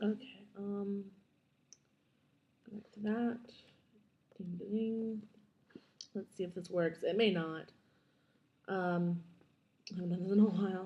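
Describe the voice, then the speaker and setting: A woman talks quietly at a fairly slow pace. Her voice is somewhat breathy, with a dark, mellow tone. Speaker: digital artist. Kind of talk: screen-recorded software tutorial. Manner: droll.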